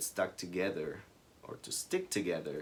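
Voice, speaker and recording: This man speaks with a Spanish accent. His pace is fairly slow. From Ecuador. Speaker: small business co-founder. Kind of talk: casual chat.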